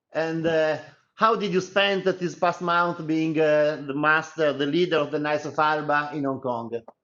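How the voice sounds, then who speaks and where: A man's fairly high voice with an Italian accent and fairly even intonation. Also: moderate pace. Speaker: journalist. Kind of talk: interview.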